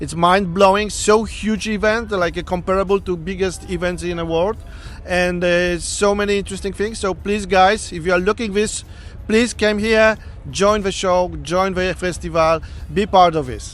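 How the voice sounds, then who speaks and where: A man's high voice with a non-native accent, monotone, flat intonation and a moderate pace. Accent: foreign. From Poland. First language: Polish. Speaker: sculptor. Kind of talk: interview. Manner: halting.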